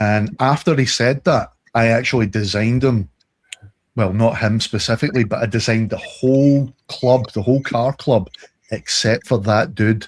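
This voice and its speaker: At a moderate pace, a man speaks in a Scottish accent. His pitch is medium, with ordinary variation. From Scotland. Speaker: podcast co-host. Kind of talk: casual chat. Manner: animated.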